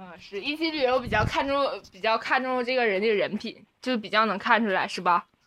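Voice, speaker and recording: A woman speaks at a fairly quick pace with hardly any pauses, her loudness swinging widely. Her fairly high voice has a bright, sharp tone and ordinary pitch variation. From Northeast China. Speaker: college student. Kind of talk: casual chat. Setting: dorm room. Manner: halting.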